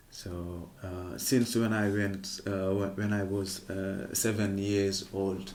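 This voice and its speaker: Delivered at a very slow pace in a monotone, flat intonation, the speech carries audible room echo. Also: man. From Senegal, Casamance. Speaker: kora player and griot musician. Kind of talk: interview. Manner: hesitant, non-native phrasing.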